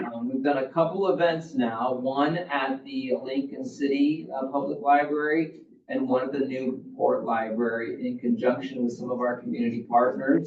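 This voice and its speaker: Amid noticeable background noise, a man talks at a fairly slow pace, medium in pitch with ordinary variation. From Puerto Rico. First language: Spanish. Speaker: college president. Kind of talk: board meeting report. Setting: public board meeting. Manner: halting, many fillers.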